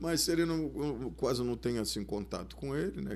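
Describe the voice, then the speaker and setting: Room echo can be clearly heard around this man. His voice has vocal fry. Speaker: samba cavaquinho player and composer. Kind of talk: casual interview chat.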